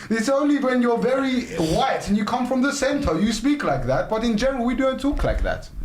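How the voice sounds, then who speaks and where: In a London accent, the speaker talks at a fairly quick pace in an animated tone, with very even loudness, audible room echo and noticeable background noise. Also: man, extremely high pitch for a man. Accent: London accent, non-posh. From North London, England. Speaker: podcast host. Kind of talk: casual group chat.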